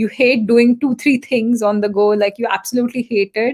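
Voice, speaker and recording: A woman with a fairly high pitch, fairly even intonation and a moderate pace. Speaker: Ayurveda and nutrition consultant. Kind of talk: interview.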